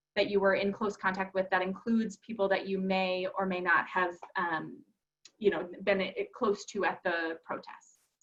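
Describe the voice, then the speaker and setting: A woman speaks at a fairly quick pace. She talks with a Minnesotan accent. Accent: Minnesota. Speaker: advocacy organization presenter. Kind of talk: webinar presentation.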